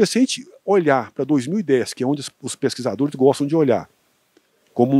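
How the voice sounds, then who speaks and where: A man talks at a fairly quick pace with lively intonation, a fairly high pitch and a dark, mellow tone. The sound is dry and close, with no echo. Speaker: agricultural researcher. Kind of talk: interview. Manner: fast.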